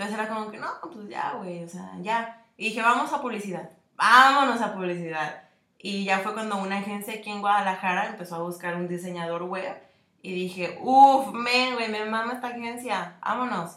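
A woman with a Mexican accent at a moderate pace, ordinary pitch variation and audible room echo. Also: medium pitch for a woman, big swings in loudness. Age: 20s. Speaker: podcast co-host, advertising designer. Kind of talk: casual chat.

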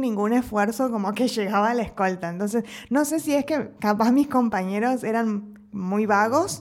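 A woman talks at a fairly slow pace in an Argentine accent, with ordinary pitch variation. The recording is very clean, with a silent background. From Argentina. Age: 30s. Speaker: podcast co-host. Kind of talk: casual chat.

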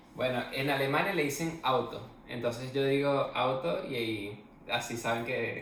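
The speech comes at a fairly slow pace with ordinary pitch variation, amid noticeable background noise and audible room echo. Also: man, medium pitch for a man. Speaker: podcast co-host. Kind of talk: casual chat.

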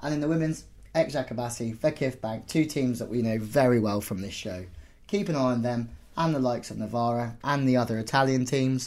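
At a fairly quick pace, a man speaks in a normal speaking voice with medium pitch and ordinary pitch variation. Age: 30s. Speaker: podcast host and volleyball coach. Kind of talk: casual chat.

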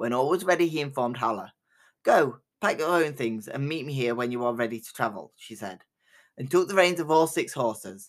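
A man with a plain, everyday voice speaks fairly quickly at a fairly high pitch, with lively intonation and big swings in loudness, on a very clean recording with a silent background. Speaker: storyteller podcast host. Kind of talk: folk tale narration read aloud from a book, in a cozy fireside storyteller style. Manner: measured, storytelling cadence, warm and inviting.

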